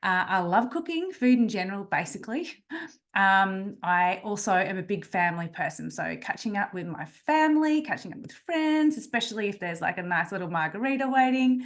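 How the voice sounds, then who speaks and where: A woman with a lively, bouncy intonation over a quiet background. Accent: Australian. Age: 40s. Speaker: naturopath and nutritionist. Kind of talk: webinar presentation. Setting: video call.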